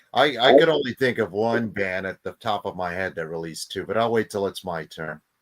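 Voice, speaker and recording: A man with an unremarkable speaking voice talks at a fairly low pitch and a fairly quick pace. His intonation is lively, his loudness swings widely, and the sound is dry and close with no echo. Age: 50s. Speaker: podcast panelist. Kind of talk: casual chat.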